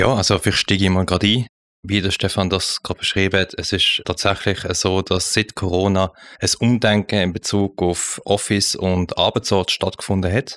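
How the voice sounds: Low-pitched male voice with a fairly bright tone, little pitch movement and a moderate pace, in a very clean recording with a silent background and a dry, close sound with no echo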